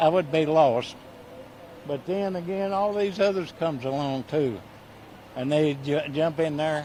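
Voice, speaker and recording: With an American accent and audible room echo, the speaker goes at a fairly slow pace, with long, frequent pauses and ordinary pitch variation. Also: man, fairly high pitch for a man. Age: 80s+. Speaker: volunteer firefighter fundraiser. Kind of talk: reading aloud donor list; casual interview. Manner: halting, stammering.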